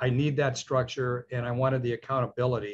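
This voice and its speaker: Somewhat breathy and enthusiastic in tone, a man talks at a medium pitch. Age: 70s. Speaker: dentist, program client. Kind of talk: testimonial interview. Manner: enthusiastic, halting with fillers.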